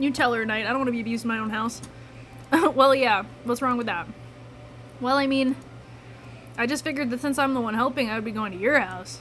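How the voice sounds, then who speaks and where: Over noticeable background noise, a woman with a Midwestern accent speaks at a very fast pace in a high pitch, her intonation fairly even and broken by long, frequent pauses. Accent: Midwest. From US Midwest. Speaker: gaming streamer. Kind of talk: live gameplay commentary, reading game dialogue aloud. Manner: casual, chatty.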